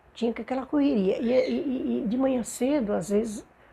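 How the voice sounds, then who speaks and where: A woman speaks in a dark, mellow tone that is somewhat breathy. Her pitch variation is ordinary. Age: 70s. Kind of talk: oral history interview answer.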